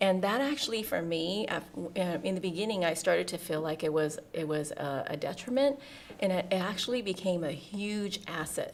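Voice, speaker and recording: In a Southeast Asian accent, a woman speaks at a moderate pace and medium pitch with lively intonation. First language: Hmong. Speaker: deputy school superintendent. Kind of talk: interview. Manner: halting, many fillers.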